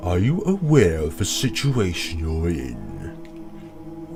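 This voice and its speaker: With clear music in the background, a man uses a put-on character voice at a medium pitch and a very slow pace. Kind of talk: posh, refined.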